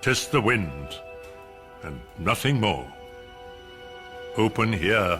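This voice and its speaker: A man speaks very slowly in a very deep, low voice with a theatrical tone and very wide pitch swings. Music plays in the background. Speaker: actor reciting a poem. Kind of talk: dramatic poetry reading. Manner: slow, theatrical, brooding.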